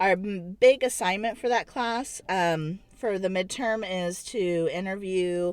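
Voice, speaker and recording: An ordinary speaking voice from a woman, medium in pitch with ordinary variation, at a fairly slow pace on a very clean recording with a silent background. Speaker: vlogger and counseling grad student. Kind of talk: casual vlog chat.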